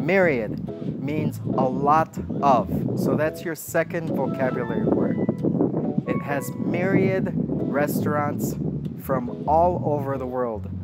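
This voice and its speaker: Very slow speech with very wide pitch swings in an American accent, music playing in the background. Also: man, fairly high pitch for a man. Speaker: English instructor. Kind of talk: slow-English language lesson talking to camera. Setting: outdoors by a lake. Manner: slow, clear, deliberate. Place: waterside.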